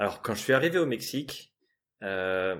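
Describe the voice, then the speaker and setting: A man with a plain, everyday voice speaks fairly slowly at a fairly low pitch with ordinary pitch variation. The recording is very clean with a silent background. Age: 30s. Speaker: sales engineer turning freelance ads consultant. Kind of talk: interview, casual chat.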